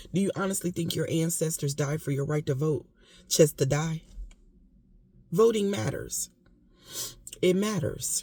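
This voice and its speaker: Her pitch very deep and low, a woman speaks at a fairly slow pace in a dark, mellow, somewhat breathy tone, with long, frequent pauses. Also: ordinary pitch variation. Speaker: vlogger. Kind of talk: casual monologue. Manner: emotional, impassioned.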